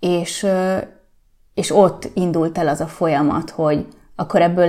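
Talking at a fairly slow pace, a woman has a dark, mellow tone in a very clean recording with a silent background. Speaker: entrepreneur. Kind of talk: interview. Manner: hesitant, many fillers.

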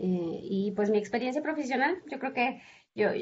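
A woman speaks at a moderate pace. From Mexico, Zacatecas. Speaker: professor. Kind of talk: interview. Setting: video call. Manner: halting.

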